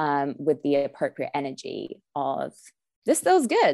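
Here a woman speaks with an English accent. The recording is very clean, with a silent background. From England. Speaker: nutritionist and wellness coach. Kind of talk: interview.

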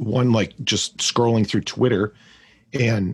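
Somewhat breathy, medium-pitched male speech at a moderate pace, with fairly even intonation and a dry, close sound without echo. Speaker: pathologist assistant and podcast host. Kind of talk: casual panel chat.

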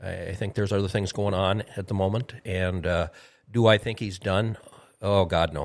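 With an Upper Midwest accent, a man speaks at a moderate pace in a fairly low pitch and fairly even intonation. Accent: Upper Midwest American. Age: 60s. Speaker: retired racing driver. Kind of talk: casual chat. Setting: studio.

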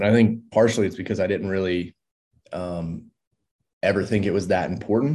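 Speaking fairly quickly with an American accent, a man has a fairly low, dark, mellow voice, ordinary pitch variation, and long, frequent pauses. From rural North Carolina (near Mount Airy). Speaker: wilderness medicine and survival instructor, former firefighter. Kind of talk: casual interview conversation.

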